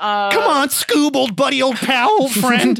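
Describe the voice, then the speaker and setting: In a put-on character voice, someone speaks at a high pitch and a fairly slow pace. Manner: cartoonish.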